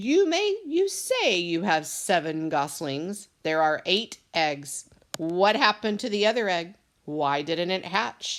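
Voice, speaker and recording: It is a put-on character voice with a growl. The pitch sits in the middle, and the pace is fairly slow. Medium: read story. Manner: snarling.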